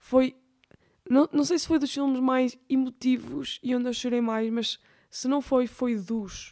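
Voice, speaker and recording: A woman with a European Portuguese accent and a high pitch speaks at a very slow pace in a dark, mellow tone. Her intonation is fairly even, and the sound is dry and close with no echo. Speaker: podcast host. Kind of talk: casual chat. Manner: halting, many fillers.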